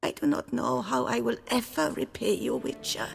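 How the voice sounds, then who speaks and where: A man puts on a raspy character voice. It sits at a medium pitch and moves at a moderate pace. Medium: video game. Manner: gentle, formal.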